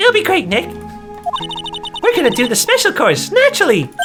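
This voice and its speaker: Over clear background music, a female-sounding put-on character voice goes extremely high in pitch at a fairly quick pace. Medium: fan dub.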